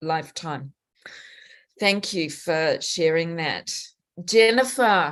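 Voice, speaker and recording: Against a quiet background, a woman with a fairly low pitch talks at a very slow pace with ordinary pitch variation. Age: 60s. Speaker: panel moderator. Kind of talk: panel discussion.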